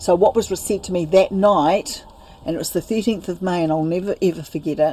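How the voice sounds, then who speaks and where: A woman with a New Zealand accent speaks at a medium pitch and a fairly quick pace. Her tone is dark and mellow, with ordinary pitch variation. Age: 60s. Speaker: spiritual teacher. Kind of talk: interview about personal life story. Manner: halting.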